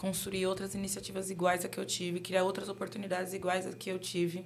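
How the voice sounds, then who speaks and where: Audible room echo surrounds a woman speaking at medium pitch. She talks at a fairly quick pace with monotone, flat intonation. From São Paulo, Brazil (Guaianases, east side). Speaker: UX/UI designer. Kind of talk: casual interview. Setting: studio.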